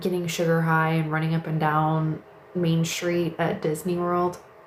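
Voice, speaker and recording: With an American accent, a woman talks in a fairly low, monotone voice with flat intonation over noticeable background noise. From Missouri, St. Louis. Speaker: live streamer. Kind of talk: casual live stream chat. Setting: livestream at home in bedroom. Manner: slow.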